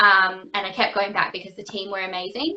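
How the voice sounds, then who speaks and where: A woman speaks at a moderate pace with an Australian accent. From Australia, Perth. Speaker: actress and singer. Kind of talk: interview. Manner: casual, many fillers.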